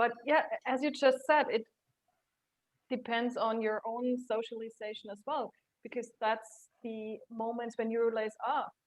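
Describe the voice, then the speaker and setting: Speaking at a fairly slow pace, a woman uses a high pitch and fairly even intonation, with long, frequent pauses. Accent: German. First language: German. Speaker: career coach and HR consultant. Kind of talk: interview.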